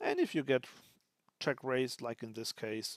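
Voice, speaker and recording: Music plays behind the speaker. He is a man with a medium-pitched voice. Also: dry, close sound with no echo. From Germany. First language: German. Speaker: poker streamer. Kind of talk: live commentary. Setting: live stream. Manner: casual, thinking aloud with hesitations.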